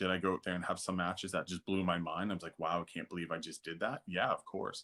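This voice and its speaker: In a very clean recording with a silent background, a man speaks. His pitch is very deep and low, and his tone is bright and sharp. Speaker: professional wrestler. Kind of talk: interview answer.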